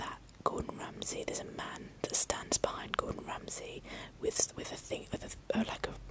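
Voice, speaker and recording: A woman whispers over noticeable background noise. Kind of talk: casual rambling talk to camera, ASMR whisper video. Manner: whispered, soft, relaxing.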